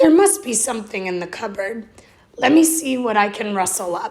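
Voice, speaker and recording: Putting on a raspy character voice, a woman speaks at a moderate pace with fairly high pitch. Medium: read story. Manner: warm, reassuring.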